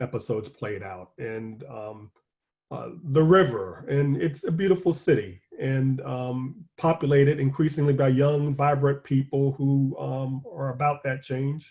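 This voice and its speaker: Speaking at a fairly slow pace with an American accent, a man's somewhat breathy, dark and mellow voice sits at a fairly high pitch, with ordinary pitch variation and big swings in loudness. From US South (Richmond, Virginia). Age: 60s. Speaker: newspaper columnist. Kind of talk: panel discussion Q&A. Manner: hesitant with frequent fillers and repetitions.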